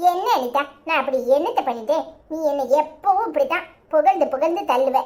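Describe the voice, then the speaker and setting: Using a cartoonish character voice, a woman talks at a moderate pace in a high pitch with lively intonation. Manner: sly, conniving.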